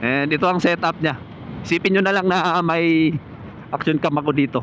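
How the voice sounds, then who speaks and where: Noticeable background noise sits under the speech. The pace is moderate, the intonation fairly even and the loudness very even. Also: man, high pitch for a man. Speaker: motovlogger. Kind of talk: tutorial. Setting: outdoors.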